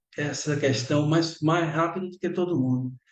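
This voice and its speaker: Here a man speaks at a moderate pace. There is audible room echo. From Bahia, Brazil. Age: 60s. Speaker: lecturer. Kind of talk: lecture.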